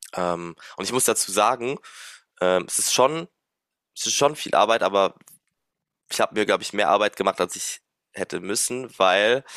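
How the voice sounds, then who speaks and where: Over a very clean recording with a silent background and a dry, close sound with no echo, a man talks at a fairly quick pace in a fairly low pitch with ordinary pitch variation. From Luxembourg. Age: 20s. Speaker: music student and drummer running an online business. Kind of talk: interview. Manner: casual, many fillers.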